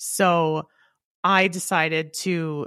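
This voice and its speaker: An ordinary speaking voice with ordinary pitch variation comes through with a dry, close sound and no echo. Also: woman. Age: 30s. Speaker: bodybuilder and podcast co-host. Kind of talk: casual chat.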